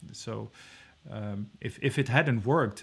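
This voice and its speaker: With a Dutch accent, a man speaks in a somewhat breathy voice at a fairly low pitch. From Netherlands. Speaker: venture investor and startup founder. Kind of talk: interview. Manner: halting, many fillers; to the point.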